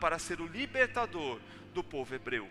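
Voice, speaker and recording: A man talks at a fairly slow pace while music sounds in the background. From Brazil. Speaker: pastor. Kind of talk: sermon. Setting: church.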